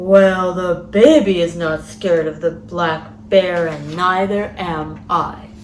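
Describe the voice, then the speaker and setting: A female-sounding voice puts on a character voice at a middle pitch. It moves at a fairly slow pace over clear background noise. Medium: read story.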